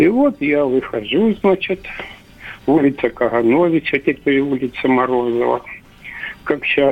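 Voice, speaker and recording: A man speaks at a very slow pace with a medium pitch and ordinary pitch variation. Noticeable background noise runs behind him. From Russian village. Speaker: caller. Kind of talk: phone-in storytelling. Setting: phone call.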